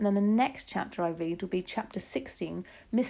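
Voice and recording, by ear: Pitch rises and falls in ordinary measure as the text is read aloud in a natural voice.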